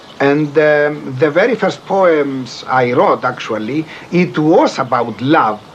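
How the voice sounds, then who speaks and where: Against noticeable background noise, a man with a fairly high pitch talks at a very slow pace, keeping his loudness very even and his intonation lively. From Cyprus, Liopetri near Famagusta. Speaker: poet. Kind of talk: documentary interview. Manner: halting.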